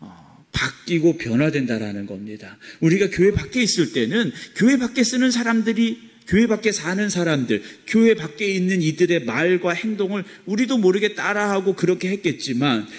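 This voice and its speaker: A man's voice with very wide swings in pitch. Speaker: pastor. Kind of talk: sermon.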